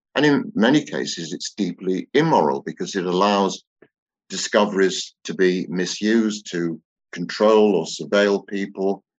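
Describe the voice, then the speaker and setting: A man with a British accent speaks at a moderate pace in a fairly low pitch, with ordinary pitch variation. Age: 60s. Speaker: author and theosophist. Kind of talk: interview.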